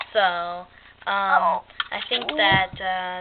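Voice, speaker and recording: Noticeable background noise sits under this recording. A woman speaks with fairly even intonation. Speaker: YouTuber. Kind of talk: casual chat. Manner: proper, no slang.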